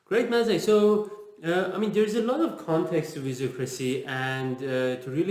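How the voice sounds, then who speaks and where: Speaking with a Persian accent at a moderate pace, a man shows ordinary pitch variation in a room with audible echo. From Iran. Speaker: interviewer, agile author. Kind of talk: casual interview.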